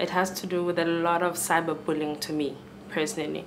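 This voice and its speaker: Fairly even in intonation, a woman's fairly low-pitched voice carries audible room echo. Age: 20s. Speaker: student. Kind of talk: panel discussion.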